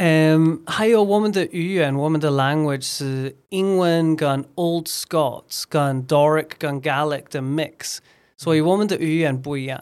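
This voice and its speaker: A man with a plain, everyday voice talks at a fairly high pitch and a fairly slow pace. He has ordinary pitch variation and hardly any pauses. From Scotland; Edinburgh, Scotland. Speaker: recruiter and former English teacher. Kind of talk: casual interview chat. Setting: in-person studio recording.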